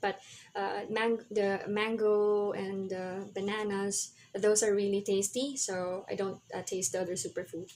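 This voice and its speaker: A woman with a Filipino accent speaks at a fairly slow pace. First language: Tagalog. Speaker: health vlogger. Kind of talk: tutorial. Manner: halting, many fillers.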